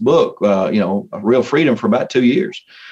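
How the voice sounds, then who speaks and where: A man with a normal speaking voice, medium pitch and a moderate pace. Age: 60s. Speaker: motivational speaker and coach. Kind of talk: interview.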